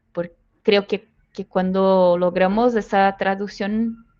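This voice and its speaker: A woman speaks at a very slow pace with a Brazilian accent. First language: Portuguese (speaking Spanish). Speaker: people analytics professional. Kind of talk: interview. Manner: halting, non-native phrasing.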